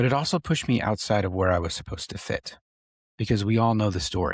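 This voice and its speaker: Over a quiet background, a man talks at a moderate pace in a calm, soothing tone, his fairly low voice somewhat breathy with ordinary pitch variation and a dry, close sound with no echo. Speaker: podcast host and tattoo artist. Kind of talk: personal storytelling monologue. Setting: podcast recording. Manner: grounded, soothing.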